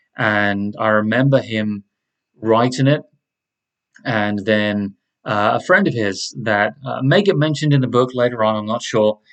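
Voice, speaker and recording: This man has an American accent, a medium pitch, ordinary pitch variation and a moderate pace. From southern England. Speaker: podcaster. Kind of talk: casual monologue introduction. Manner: hesitant, many fillers.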